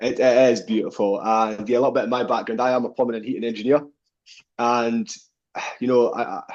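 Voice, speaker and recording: A man with a Scottish accent, medium pitch, monotone, flat intonation, a very fast pace and long, frequent pauses. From Scottish Highlands, Fort William. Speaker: business owner, plumbing and heating engineer. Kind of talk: interview.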